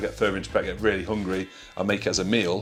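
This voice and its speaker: A man talking at a very fast pace, with music in the background. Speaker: IFBB pro bodybuilder. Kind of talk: casual talk to camera.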